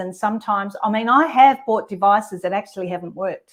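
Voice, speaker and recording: A plain, everyday voice speaks fairly quickly, with only quiet in the background. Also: woman. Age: 60s. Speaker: podcast host. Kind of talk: casual chat.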